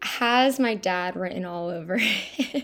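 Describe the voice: Very slowly, a woman speaks at a medium pitch with a fairly bright tone.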